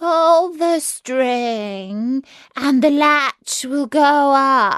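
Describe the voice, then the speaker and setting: A put-on character voice at a very slow pace. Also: woman. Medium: read story. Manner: sly, deceptively sweet.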